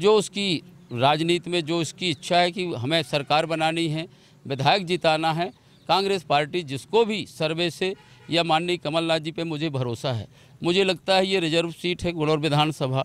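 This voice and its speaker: A man speaks at a high pitch and a fairly slow pace. His pitch varies in an ordinary way, and the recording is dry with no echo. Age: 50s. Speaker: politician, former state legislator; politician. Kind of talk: interview. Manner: halting. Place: open country. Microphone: handheld.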